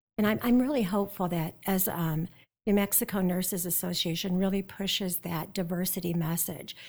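In a normal speaking voice with an American accent, a woman talks at a moderate pace and medium pitch with fairly even intonation, on a very clean recording with a silent background. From US Midwest, South Dakota. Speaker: nursing professor. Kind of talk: interview.

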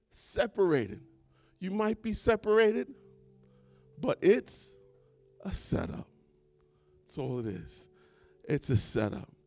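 Over music in the background, a man speaks in an animated tone at a fairly slow pace, with long, frequent pauses, big swings in loudness, and a dry, close sound with no echo. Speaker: preacher. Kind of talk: sermon. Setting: church with congregation, also streamed online. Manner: animated, exhorting, call-and-response with the congregation; repetitive, building emphasis through repeated phrases.

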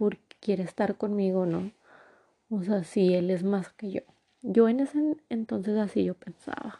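A woman at medium pitch with a dark, mellow tone, fairly slow delivery, ordinary pitch variation and a dry, close sound with no echo. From northern Mexico, Torreón, Coahuila. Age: 20s. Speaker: podcaster. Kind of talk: personal storytelling monologue. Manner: casual, filler-heavy.

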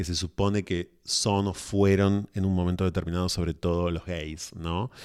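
The background is silent and the recording very clean. This man's voice is very deep and low, its intonation fairly even. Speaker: podcast guest. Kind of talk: casual discussion.

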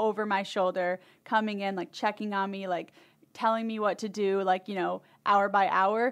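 A woman with an American accent speaks in a plain, everyday voice at a medium pitch and moderate pace, with ordinary pitch variation on a very clean recording with a silent background. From Michigan. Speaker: new media team employee. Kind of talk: casual chat.

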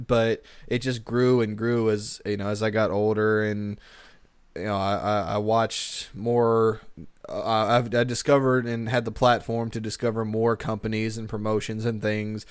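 At a moderate pace, a man with a medium pitch speaks in an animated tone. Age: 20s. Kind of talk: casual banter. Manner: animated, jokey.

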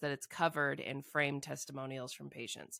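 A woman's very deep, low pitch with vocal fry and a bright, sharp tone, at a fairly quick pace. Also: very clean recording, silent background. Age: 40s. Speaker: podcast host, doctor. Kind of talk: casual chat.

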